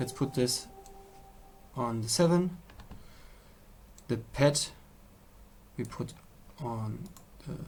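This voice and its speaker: Long, frequent pauses break up a man's very slow speech. His pitch varies in an ordinary way. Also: medium pitch for a man. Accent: German. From Germany. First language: German. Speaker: music producer. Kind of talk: tutorial. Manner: halting.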